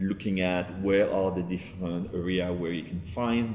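Through audible room echo and light background noise, a man speaks with a very deep, low pitch. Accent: French. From France. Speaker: tech entrepreneur. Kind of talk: interview answer. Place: office. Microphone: lapel.

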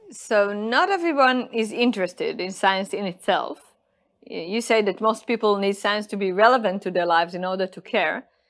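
The background is quiet. A woman speaks with an Israeli accent. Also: ordinary pitch variation, moderate pace. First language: Hebrew. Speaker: lecturer and course host. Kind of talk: scripted course presentation; interview. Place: studio.

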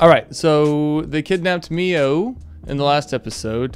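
Over faint music in the background, a man speaks at a fairly slow pace with ordinary pitch variation in a dry sound with no echo. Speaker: anime review vlogger. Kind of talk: casual review commentary. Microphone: studio mic.

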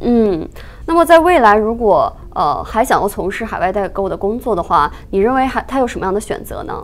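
A woman speaks in a fairly high pitch at a fairly quick pace. Her pitch swings very widely. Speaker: news show host. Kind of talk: interview. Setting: studio. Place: studio.

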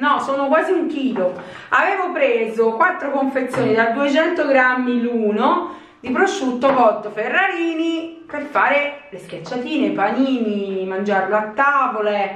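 A woman's high voice at a fairly slow pace, with audible room echo. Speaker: home vlogger. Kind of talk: casual vlog chat. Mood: playful, mildly complaining. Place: home room. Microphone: camera far.

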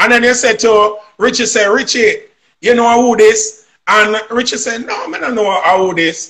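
With a Jamaican accent, a man projects a raised voice at an extremely high pitch with a bright, sharp tone, fairly even intonation and a moderate pace against a quiet background. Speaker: singer. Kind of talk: interview answer, storytelling. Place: home room. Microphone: video call.

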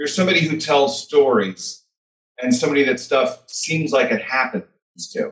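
A man with an American accent speaks at a fairly high pitch with ordinary pitch variation. Room echo is audible. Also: moderate pace, quiet background. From US Midwest, Chicago. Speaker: author; podcast guest. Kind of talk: interview. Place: home room. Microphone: webcam.

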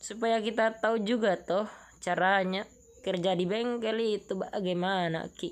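A woman speaks in a playful tone at a fairly slow pace, with medium pitch and ordinary pitch variation. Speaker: vlogger. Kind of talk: vlog narration. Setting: roadside bicycle repair shop. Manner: casual, playful.

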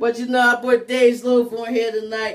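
A man speaks loud and animated at an extremely high pitch. His pace is moderate. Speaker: live talk show host. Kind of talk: casual chat.

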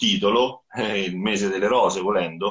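In an ordinary speaking voice, a man talks at a moderate pace with ordinary pitch variation against a quiet background. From central Italy (Rieti area); central Italy. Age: 40s. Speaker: rock guitarist and songwriter; guest. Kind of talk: live interview. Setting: Instagram live video call. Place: home room.

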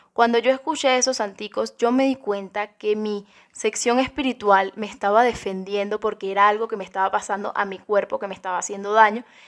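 With a Cuban accent, a woman speaks at a fairly quick pace with a fairly high pitch and fairly even intonation. The background is quiet. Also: hardly any pauses. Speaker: YouTuber. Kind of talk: ASMR-style ghost story telling, hushed and suspenseful. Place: home room. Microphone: studio mic.

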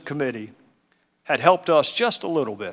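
Here a man speaks with a Southern US accent. His pitch is fairly high. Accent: Southern drawl. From Southern United States. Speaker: congressman, committee chairman, former prosecutor. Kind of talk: opening statement at a congressional hearing. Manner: measured.

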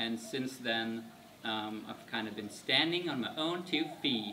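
A man at a fairly slow pace with ordinary pitch variation amid noticeable background noise. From Germany. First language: German. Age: 20s. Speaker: vlogger. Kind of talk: casual vlog Q&A. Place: garden.

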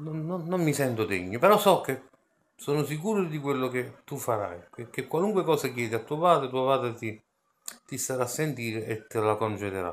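A man at a moderate pace, his pitch swinging very widely. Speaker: religious video blogger. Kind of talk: scripture reading and reflection. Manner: halting, with repetitions. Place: home room. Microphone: phone near.

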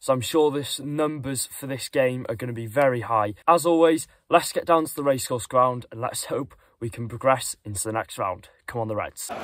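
A man speaks at a moderate pace with ordinary pitch variation and big swings in loudness, in dry sound with no echo. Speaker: football fan vlogger. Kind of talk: casual vlog chat. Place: car. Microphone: phone near.

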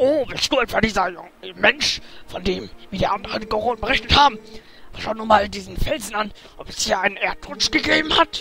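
Over faint music in the background, a man does a put-on character voice with a high pitch, a bright, sharp tone, lively intonation and a fairly quick pace.

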